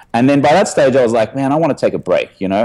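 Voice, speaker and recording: Speaking at medium pitch, a man has an Australian accent. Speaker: podcast guest, former drinker. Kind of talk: interview conversation. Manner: animated storytelling.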